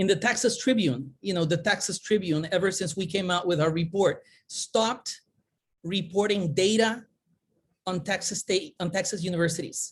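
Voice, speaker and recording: A woman speaks with a Spanish accent. Her voice is somewhat breathy. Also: medium pitch for a woman, ordinary pitch variation, moderate pace. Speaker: conference presenter, academic. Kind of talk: conference presentation. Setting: virtual summit. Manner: animated, hand-waving.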